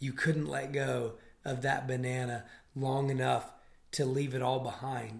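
A man's somewhat breathy voice at a medium pitch, monotone and flat in intonation, at a fairly slow pace. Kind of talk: casual faith discussion.

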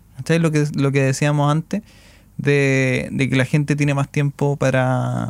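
A man with a Chilean accent speaks at a fairly high pitch, in a dry, close sound with no echo. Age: 20s. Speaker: podcast host. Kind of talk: casual chat.

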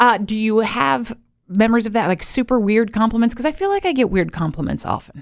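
An unremarkable speaking voice from a woman, fairly quick pace and lively intonation, in a very clean recording with a silent background. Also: fairly high pitch for a woman. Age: 40s. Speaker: podcast host. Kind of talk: casual chat.

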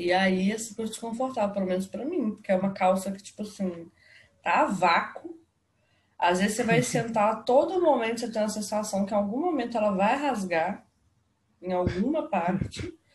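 A fairly high, somewhat breathy woman's voice at a moderate pace. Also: lively intonation. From Belo Horizonte, Minas Gerais, Brazil. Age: 20s. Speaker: podcast co-host. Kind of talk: casual chat. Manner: animated.

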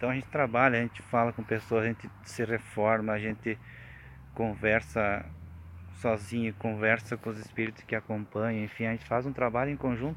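A man at medium pitch talks at a fairly quick pace, with ordinary pitch variation. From Rio Grande do Sul, Brazil. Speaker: beekeeper and spiritual group member giving testimony. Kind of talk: testimony. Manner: halting.

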